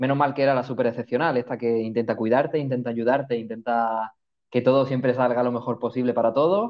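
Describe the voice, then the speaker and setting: Very fast, a man talks with very even loudness. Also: medium pitch for a man, fairly even intonation. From Málaga, Andalusia, Spain. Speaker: midwife. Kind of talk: casual interview.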